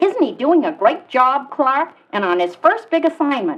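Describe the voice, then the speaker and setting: A woman puts on a character voice, pitched high. Her pitch swings very widely. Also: moderate pace. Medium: audio drama.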